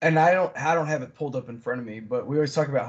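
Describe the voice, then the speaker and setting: Somewhat breathy in tone, a man talks with ordinary pitch variation. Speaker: podcast co-host. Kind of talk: casual chat.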